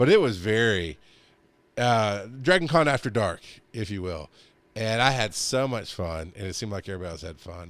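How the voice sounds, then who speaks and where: The recording is very clean, with a silent background. A man speaks at a medium pitch and moderate pace in an animated tone. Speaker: podcast co-host. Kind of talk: casual chat. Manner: loud.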